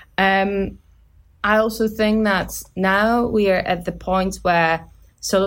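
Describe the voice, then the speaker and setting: Speaking very slowly with a Polish accent, a woman comes through on a very clean recording with a silent background. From Poland. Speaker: student team lead on a renewables project. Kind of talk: casual interview. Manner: halting, many fillers.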